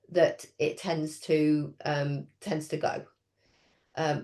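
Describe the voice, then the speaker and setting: A woman speaks with an English accent. Her tone is dark and mellow. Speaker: speech and language therapy lecturer. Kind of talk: training webinar. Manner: hesitant with many fillers.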